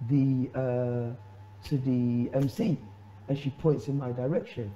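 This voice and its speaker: Somewhat breathy, a man talks at a medium pitch. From Sierra Leone. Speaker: storyteller and hip hop artist. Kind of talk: chat show interview answer, telling an anecdote.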